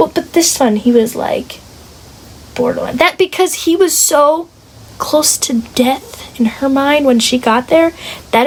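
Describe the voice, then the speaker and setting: There is noticeable background noise as a woman speaks at a high pitch with ordinary pitch variation. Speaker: book club member. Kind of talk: casual chat. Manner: animated.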